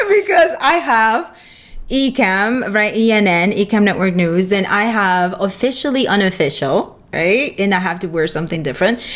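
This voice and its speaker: Speaking with a Spanish accent, a woman keeps a moderate pace and medium pitch. Her intonation is lively. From Dominican Republic. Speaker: photographer and streaming show host. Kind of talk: casual interview chat.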